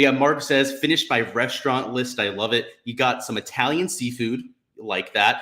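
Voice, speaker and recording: Speaking at a medium pitch and fairly quick pace, a man sounds energetic. His tone is bright and sharp. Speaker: golf DFS and betting streamer. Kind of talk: live stream commentary and chat. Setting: live stream with chat. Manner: amped up, energetic.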